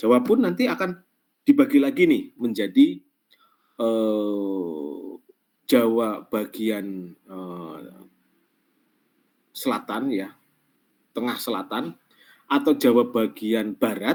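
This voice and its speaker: A man speaks at a very slow pace. Long pauses come often between his words. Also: big swings in loudness. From Central Java, Pemalang. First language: Javanese (Banyumasan dialect) (speaking Indonesian). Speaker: lecturer. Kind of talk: online class lecture. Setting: online class. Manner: halting, many fillers.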